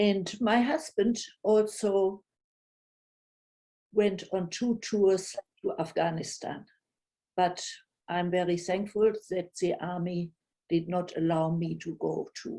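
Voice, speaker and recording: Spoken at a very slow pace with long, frequent pauses, the voice has a dark, mellow tone, ordinary pitch variation and a strong German accent. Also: woman, medium pitch for a woman. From Germany. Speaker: retired city planner, storyteller. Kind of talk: personal storytelling. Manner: halting, with many fillers.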